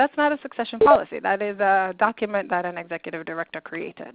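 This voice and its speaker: The delivery is fairly quick. It is an ordinary speaking voice. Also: woman. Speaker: nonprofit leadership consultant. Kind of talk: webinar presentation.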